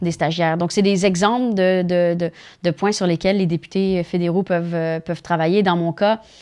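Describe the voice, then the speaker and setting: A woman with a Spanish accent speaks in a fairly low, flat monotone at a moderate pace, on a very clean recording with a silent background. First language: Spanish (speaking French). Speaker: politician. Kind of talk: interview. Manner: halting.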